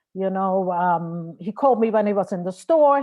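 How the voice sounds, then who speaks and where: Her intonation is lively, and this woman has an Austrian accent. She talks at a moderate pace. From Austria, Vienna. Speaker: marriage and family therapist. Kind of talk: lecture.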